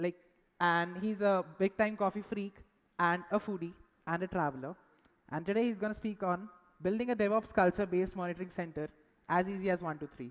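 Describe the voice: A man speaks at a fairly quick pace with few pauses. His pitch is high, with ordinary variation.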